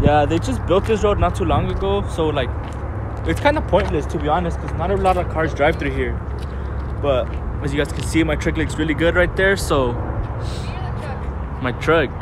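A man talks with long, frequent pauses, in a dry sound with no echo. Noticeable background noise is present. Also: moderate pace. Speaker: vlogger. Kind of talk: casual talk to camera. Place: street. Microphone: phone near.

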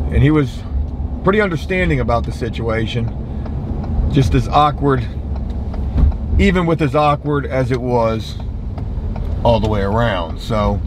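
A man's very deep, low voice with very wide pitch swings, a moderate pace and long, frequent pauses, in a dry sound with no echo and noticeable background noise. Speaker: vlogger. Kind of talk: casual vlog chat. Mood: embarrassed, self-mocking, profane. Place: car. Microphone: camera far.

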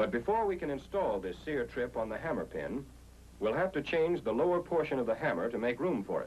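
With vocal fry and a fairly high pitch, a man talks at a fairly quick pace, his pitch swinging very widely. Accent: American. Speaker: training film narrator. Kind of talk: 1940s military training film narration. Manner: formal, authoritative and measured; clear, steady and instructional, with brisk, even pacing.

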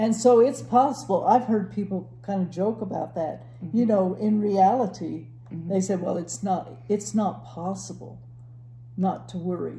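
A woman speaks at a moderate pace with big swings in loudness, and audible room echo surrounds her voice. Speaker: church Bible teacher. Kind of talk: Bible teaching conversation. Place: home room.

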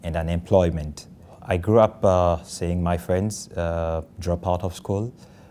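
A very slow, dark, mellow delivery in a Ugandan accent. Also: man. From Kampala, Uganda. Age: 20s. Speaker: social entrepreneur. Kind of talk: interview answer.

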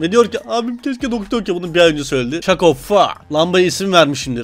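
A man's high voice at a fairly quick clip, with very wide swings in pitch over noticeable background noise. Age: 20s. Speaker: YouTuber. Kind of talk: meme reaction video. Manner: animated.

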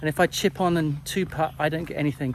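Over light background noise, a man speaks at a moderate pace with fairly even intonation, the sound dry with no echo. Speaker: golf coach. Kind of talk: casual vlog explanation. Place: open country. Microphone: phone near.

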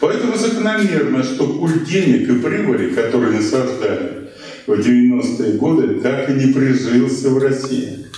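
With strong room echo, a man speaks at a fairly slow pace, pausing often and at length. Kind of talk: lecture. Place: shop.

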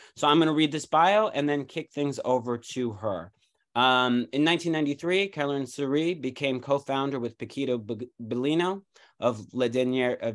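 An unremarkable speaking voice with an American accent, at a moderate pace over a quiet background. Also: man, fairly high pitch for a man, ordinary pitch variation. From United States. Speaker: symposium host. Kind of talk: introducing a guest, casual moderating. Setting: video call. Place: home room. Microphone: video call.

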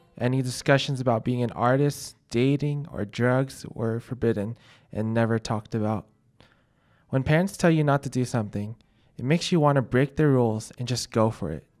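With an American accent, a man has an unremarkable speaking voice of medium pitch and ordinary pitch variation. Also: moderate pace. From Colorado. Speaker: student. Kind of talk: scripted narration.

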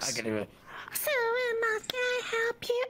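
Clear background noise sits behind a put-on character voice at an extremely high pitch. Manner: earnest, helpful.

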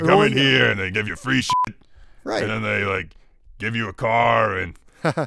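In a put-on character voice, a man speaks at a moderate pace with a fairly low pitch. He leaves long, frequent pauses. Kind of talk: comic overacting. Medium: comedy sketch. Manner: brash, laughing, excitable.

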